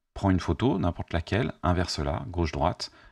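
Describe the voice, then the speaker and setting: Over a quiet background, a man talks very fast. His voice is very deep and low, with ordinary pitch variation. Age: 50s. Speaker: YouTuber and life coach; coach. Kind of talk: spontaneous monologue to camera; casual vlog chat. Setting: at home, facing camera. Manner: hesitant, many fillers. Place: home room. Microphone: studio mic.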